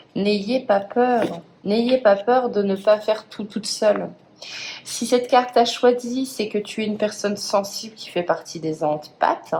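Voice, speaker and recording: Over noticeable background noise, a woman speaks at a fairly high pitch and a fairly slow pace, with ordinary pitch variation and big swings in loudness. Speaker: tarot card reader. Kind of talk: tarot reading. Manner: hesitant.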